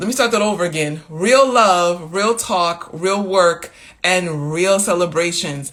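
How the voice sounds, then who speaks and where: A woman talks at a fairly slow pace with a fairly low pitch and ordinary pitch variation, in a normal speaking voice. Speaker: wellness coach running an online women's community. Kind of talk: live social media talk to followers. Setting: Instagram live stream. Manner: casual, with many fillers.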